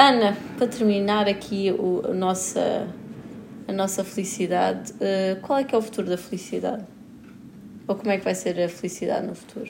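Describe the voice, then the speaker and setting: Amid noticeable background noise, a woman with a European Portuguese accent speaks at a medium pitch and moderate pace, with fairly even intonation and long, frequent pauses. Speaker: podcast co-host. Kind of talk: casual chat.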